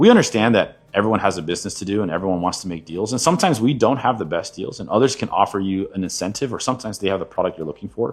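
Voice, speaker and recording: A man talks at a very fast pace with a fairly low pitch. The recording is very clean, with a silent background. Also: lively intonation, hardly any pauses. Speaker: card shop owner. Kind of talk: business recap monologue.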